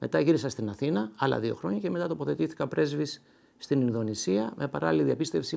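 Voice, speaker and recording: With a dark, mellow tone, a man speaks at a moderate pace, his pitch swinging very widely. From Greece, Kallithea (Athens); Greece. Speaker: retired ambassador and poet. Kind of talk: interview. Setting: his home. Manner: hesitant, many filler sounds. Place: home room. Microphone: lapel.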